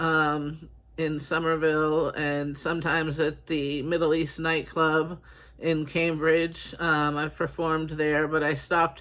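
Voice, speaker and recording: With a slight Boston accent, a man talks at a fairly slow pace in a fairly high, bright, sharp voice, his intonation monotone and flat. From Boston, US. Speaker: writer and artist. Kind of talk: casual monologue. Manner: halting, many fillers.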